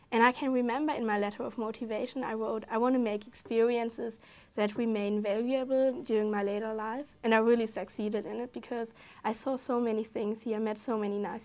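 In a German accent, a woman talks at a fairly quick pace, her fairly high pitch held to fairly even intonation. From Germany. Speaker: exchange student. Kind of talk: casual interview. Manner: halting, hesitant with fillers. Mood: warm, enthusiastic. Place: studio. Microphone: lapel.

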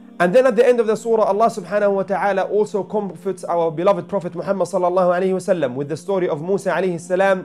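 Light background noise sits behind a man with a high pitch. He talks at a very fast pace with hardly any pauses and fairly even intonation. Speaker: religious teacher. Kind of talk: religious reflection talk. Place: home room.

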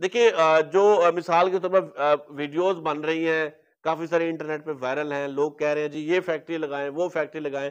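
This man has a fairly high pitch and a clear, smooth tone. He talks at a moderate pace with fairly even intonation and few pauses.

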